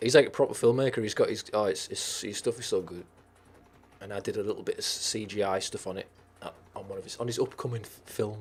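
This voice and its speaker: A man in a Teesside accent, at a very fast pace with big swings in loudness and music in the background. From northern England, Teesside. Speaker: streamer. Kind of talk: casual chat. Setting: live stream.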